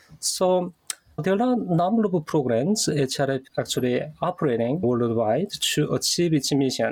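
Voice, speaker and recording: Speaking at a moderate pace with a Korean accent, a man uses lively intonation. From North Korea. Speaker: human rights program director. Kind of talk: interview. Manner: halting.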